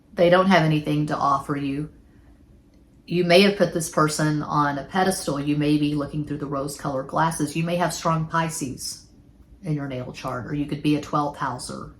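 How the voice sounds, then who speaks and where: With a Texas accent, a woman talks at a fairly quick pace, her very deep, low pitch held in fairly even intonation. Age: 40s. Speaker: tarot reader. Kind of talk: tarot reading; casual monologue. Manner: casual.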